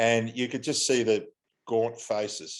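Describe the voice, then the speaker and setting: Against a quiet background, a man with an Australian accent talks at a moderate pace and a medium pitch. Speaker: airline pilot. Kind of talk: interview.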